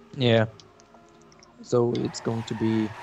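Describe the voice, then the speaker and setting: A man speaks at a medium pitch in a flat, monotone delivery. Noticeable background noise runs underneath. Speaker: esports commentator. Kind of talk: live commentary. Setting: online stream.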